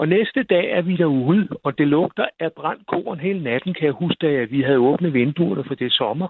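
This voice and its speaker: Pausing hardly at all, a man with a plain, everyday voice speaks at a moderate pace in a fairly high pitch, his intonation lively. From Zealand, Denmark (near Roskilde). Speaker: radio caller. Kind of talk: storytelling.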